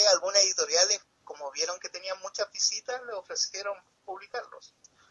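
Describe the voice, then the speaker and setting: Speaking at a moderate pace, a man talks with a Chilean accent. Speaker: comic artist. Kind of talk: casual chat.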